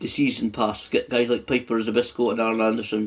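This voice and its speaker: Vocal fry at a moderate pace. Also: man. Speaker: gaming YouTuber. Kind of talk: game live stream commentary. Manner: casual, hesitant with many fillers.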